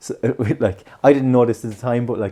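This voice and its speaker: A man with an Irish accent and a dark, mellow tone talks at a very fast pace over a quiet background. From Ireland. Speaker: podcast host. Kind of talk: casual chat. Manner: animated.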